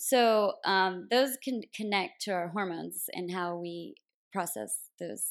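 A normal speaking voice with an American accent and lively intonation. The recording is very clean, with a silent background. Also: woman. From US South, Tennessee (near Nashville). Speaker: naturopathic doctor. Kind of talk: interview, explaining health topics.

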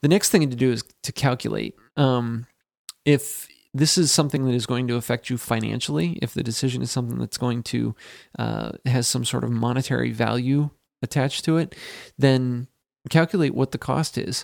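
A man's medium-pitched, a normal speaking voice, with ordinary pitch variation and a moderate pace, in a dry, close sound with no echo and a very clean recording over a silent background. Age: 30s. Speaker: podcast co-host. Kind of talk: casual chat.

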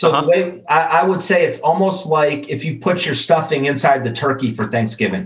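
Talking at a fairly quick pace with hardly any pauses, a man uses a fairly high pitch and ordinary pitch variation. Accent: Midwestern American. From US Midwest, Chicago. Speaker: grilling expert and e-commerce director. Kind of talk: casual interview.

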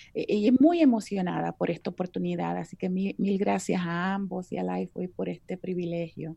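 A moderate pace with hardly any pauses. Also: woman. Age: 50s. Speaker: biblical counselor. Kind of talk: interview.

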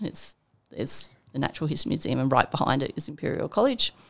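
A woman speaks in an Australian accent. Her intonation is lively. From Armidale, New South Wales, Australia. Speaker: scientist and environment centre director. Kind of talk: casual interview chat. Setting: studio.

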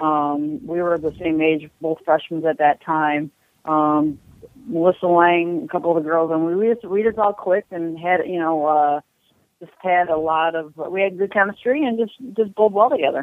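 In an American accent, a woman with an ordinary speaking voice talks at a moderate pace, her fairly low pitch showing ordinary pitch variation. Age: 40s. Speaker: professional bowler. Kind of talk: interview.

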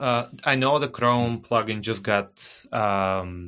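Bright, sharp male voice in a Bulgarian accent against a quiet background. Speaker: marketing director. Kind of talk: casual interview.

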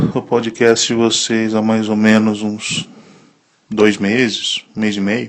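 Very slow speech from a man at a medium pitch. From Italy. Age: 30s. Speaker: listener, small business owner. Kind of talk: recorded voice message. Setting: WhatsApp voice message.

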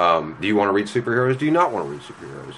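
Over noticeable background noise, a man with an American accent talks very fast in a fairly low pitch, with very wide pitch swings. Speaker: comic shop manager. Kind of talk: casual interview. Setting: in a shop. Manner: animated.

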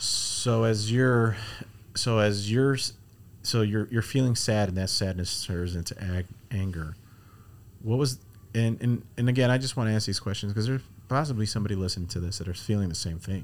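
A man's fairly low voice with ordinary pitch variation and a fairly quick pace, in a very clean recording with a silent background. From US Midwest, Chicago. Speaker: podcast host, ministry worker. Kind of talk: casual interview. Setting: studio. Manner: filler-heavy, halting.

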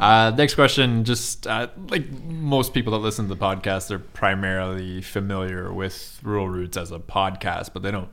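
A man with an Eastern Canadian accent talks at a moderate pace with a fairly low pitch. His pitch variation is ordinary, and he hardly pauses. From Eastern Canada. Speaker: podcast host. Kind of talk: casual interview conversation.

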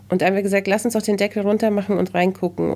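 A woman is speaking. Her tone is dark and mellow. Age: 40s. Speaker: journalist and podcast host. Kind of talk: casual interview chat.

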